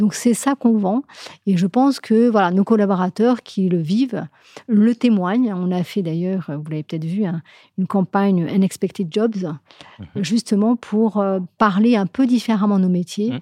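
A woman speaks at a fairly slow pace in a dark, mellow tone. The sound is dry and close with no echo, over a quiet background. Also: medium pitch for a woman, ordinary pitch variation. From Morocco, Casablanca. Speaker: HR director of a large bank. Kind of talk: interview.

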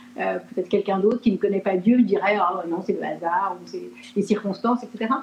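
A woman talks at medium pitch. Her pitch variation is ordinary. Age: 50s. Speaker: pastor, former luxury fashion worker. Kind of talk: interview. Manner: halting.

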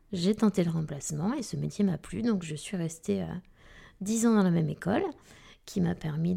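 The voice is dark and mellow, with vocal fry. It moves at a fairly slow pace with ordinary pitch variation. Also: woman. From southwest France, Arcachon basin. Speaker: middle school teacher. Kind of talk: interview.

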